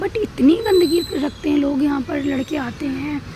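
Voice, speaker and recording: The woman's pace is fairly slow and her pitch varies in an ordinary way, with noticeable background noise present. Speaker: vlogger. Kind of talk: casual vlog talk. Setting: outdoors on rooftop.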